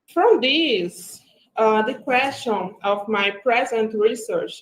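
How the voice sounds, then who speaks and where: Speaking very slowly, a woman talks in a Brazilian Portuguese accent. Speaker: graduate student. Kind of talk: academic presentation. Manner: reading from script.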